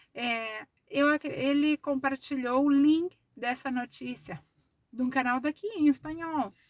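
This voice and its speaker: Speaking at a very slow pace, a woman uses a high pitch, and the sound is dry and close with no echo. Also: ordinary pitch variation. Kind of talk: casual vlog monologue. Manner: slow, deliberate.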